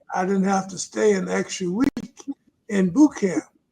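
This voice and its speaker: Speaking at a fairly slow pace, a man with a Virginia accent has a high pitch. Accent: US Southern (Virginia). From Virginia, Lunenburg County. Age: 80s+. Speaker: retired pastor and author. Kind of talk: interview testimony.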